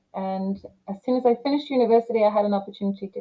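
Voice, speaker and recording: Her English accent comes through as the woman speaks at medium pitch with fairly even intonation. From England, Leeds. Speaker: lawyer. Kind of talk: interview.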